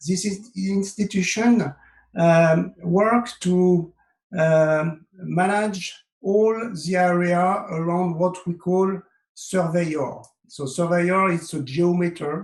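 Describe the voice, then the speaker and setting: A man speaks with a French accent at a high pitch. His pace is very slow and his intonation fairly even. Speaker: software consultant. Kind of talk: webinar presentation. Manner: halting, many fillers.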